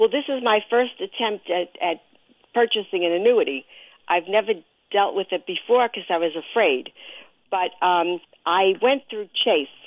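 With an American accent, a woman in an ordinary speaking voice talks at a medium pitch and a moderate pace with lively intonation. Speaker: caller. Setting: phone call.

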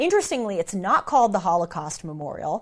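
With an American accent, a woman talks over a quiet background. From United States. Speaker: commentator, podcast host. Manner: conversational, storytelling.

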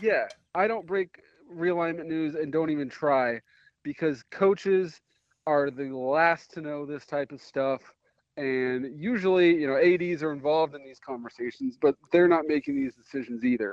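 A man with an ordinary speaking voice talks at a moderate pace and fairly high pitch, with ordinary pitch variation and big swings in loudness. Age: 30s. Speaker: college football reporter. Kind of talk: casual chat.

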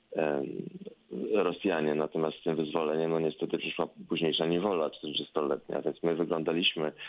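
A man talks at an unhurried, middling pace, his voice pitched very deep and low. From Poland. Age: 50s. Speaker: professor, Americanist. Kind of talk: radio interview.

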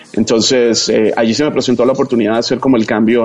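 Medium in pitch, a man speaks with monotone, flat intonation. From Colombia, Bogotá. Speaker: TV entertainment journalist. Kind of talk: casual interview chat.

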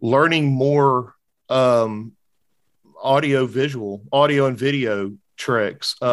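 A man talks in an unremarkable speaking voice at a medium pitch with ordinary variation. The recording is very clean, with a silent background. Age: 40s. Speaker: podcast host, banking school program director. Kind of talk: casual chat.

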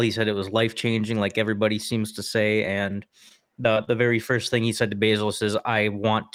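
The pace is fairly quick. This man's voice sits fairly low. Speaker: podcast co-host. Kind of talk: casual chat. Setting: call.

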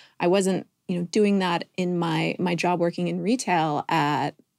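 Vocal fry runs through this woman's fairly low voice. She speaks with an American accent and ordinary pitch variation. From California. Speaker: wellness media company co-founder. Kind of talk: podcast interview.

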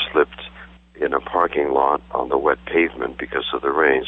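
A moderate pace over noticeable background noise. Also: man. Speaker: marathon runner. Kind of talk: casual interview. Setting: phone call.

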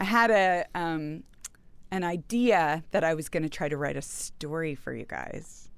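A woman with an American accent speaks in a plain, everyday voice. Her pitch is fairly low and her pace fairly slow. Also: ordinary pitch variation. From Houston, Texas. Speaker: novelist. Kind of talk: interview.

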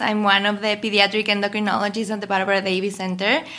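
A woman's fairly high, bright, sharp voice with a Mexican accent. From Mexico City. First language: Spanish. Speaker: pediatric endocrinologist. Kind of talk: interview.

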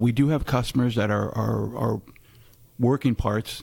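Over a silent background in a very clean recording, a man talks at a moderate pace. He has a plain, everyday voice at medium pitch. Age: 50s. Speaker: metals branch manager. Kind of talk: casual interview. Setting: sales meeting in Nashville.

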